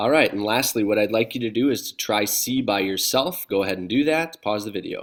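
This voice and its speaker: An ordinary speaking voice with ordinary pitch variation at a moderate pace, on a very clean recording with a silent background. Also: man. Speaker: math teacher. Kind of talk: video lesson.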